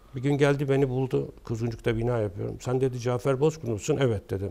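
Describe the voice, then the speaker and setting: A dark, mellow tone at a fairly quick pace, with ordinary pitch variation. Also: man. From Istanbul, Turkey; Turkey. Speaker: architect; guest. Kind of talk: interview. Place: studio. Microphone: lapel.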